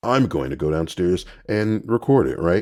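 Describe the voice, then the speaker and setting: A man talks at a fairly quick pace and fairly low pitch with very wide pitch swings, on a very clean recording with a silent background. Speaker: voice actor. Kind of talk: casual tutorial vlog. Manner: casual, with fillers.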